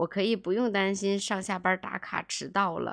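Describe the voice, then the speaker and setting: The recording is very clean, with a silent background and a dry, close sound with no echo, as a woman in a plain, everyday voice speaks at a medium pitch and fairly slow pace with fairly even intonation. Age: 30s. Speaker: podcast host, former real estate agent. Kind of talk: personal monologue podcast. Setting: home.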